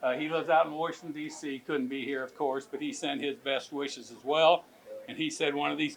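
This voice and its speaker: A man with a fairly high pitch, a moderate pace and ordinary pitch variation. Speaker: event emcee. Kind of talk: tribute speech. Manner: loud.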